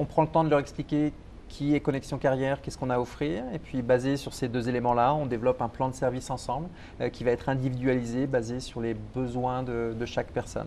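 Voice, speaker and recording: A man speaks very fast in a dark, mellow tone with flat, monotone intonation. Light background noise sits behind him. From Brittany, France. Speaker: employment program director. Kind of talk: TV interview. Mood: calm, friendly, informative. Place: studio. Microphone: lapel.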